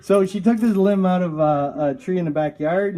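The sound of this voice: At a fairly slow pace, a man speaks with a dark, mellow tone.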